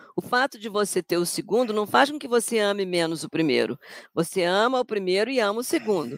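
Speaking at a fairly quick pace, a woman with a medium pitch swings very widely in pitch, the sound dry and close with no echo. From Rio de Janeiro, Brazil. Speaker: English language professor. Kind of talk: interview.

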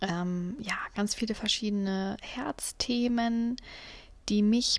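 The pace is very slow. The voice is somewhat breathy. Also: woman. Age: 30s. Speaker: podcast host. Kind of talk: casual monologue. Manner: hesitant, many fillers.

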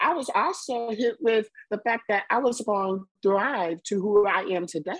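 Speaking with an American accent, a woman moves at a moderate pace. Her intonation is lively. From US Midwest (Chicago South Side, then northeast Missouri). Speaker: political candidate and advocate. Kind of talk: interview.

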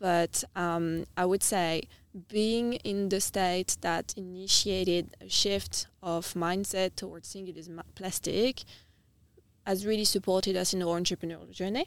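A French accent at a fairly slow pace, with fairly even intonation and big swings in loudness. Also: woman, medium pitch for a woman. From France, Nice (south of France). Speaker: startup founder and CEO. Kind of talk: podcast interview.

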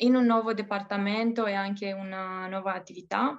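With a Romanian accent, a woman speaks at medium pitch and with fairly even intonation. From Romania, Bucharest. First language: Romanian (speaking Italian). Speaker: expat bank employee. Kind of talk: interview. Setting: call. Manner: halting.

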